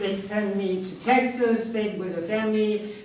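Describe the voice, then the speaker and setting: A woman with a non-native accent and ordinary pitch variation, amid noticeable background noise and audible room echo. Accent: foreign. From outside the US. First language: not English. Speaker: audience member, former English teacher. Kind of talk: personal story.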